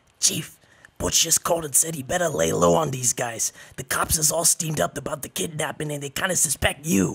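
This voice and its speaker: A man puts on a raspy character voice, pitched fairly high. He moves at a fairly quick pace with lively intonation. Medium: audio drama. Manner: ungrammatical tough-guy slang.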